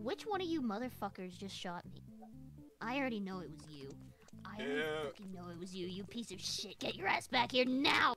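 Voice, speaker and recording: A woman puts on a whiny character voice at medium pitch, moving at a moderate pace with very wide pitch swings and big swings in loudness. Clear music plays in the background. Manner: angry, whiny, profane.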